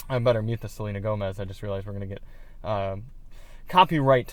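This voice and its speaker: Lively intonation marks this man's speech. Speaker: car audio reviewer. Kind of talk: product review demo. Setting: in a car.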